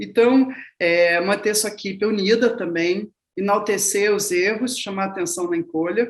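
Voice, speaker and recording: Fairly slow and fairly even in intonation, this woman talks. Her pitch sits at a medium level. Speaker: film and show producer. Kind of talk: masterclass talk. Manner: forceful way of speaking.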